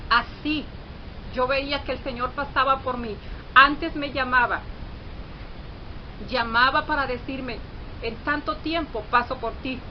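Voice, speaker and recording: A woman's high voice at a fairly slow pace, fairly even in intonation, with long, frequent pauses over noticeable background noise. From Mexico. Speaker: churchgoer giving testimony. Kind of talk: testimony. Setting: video recording. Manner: halting.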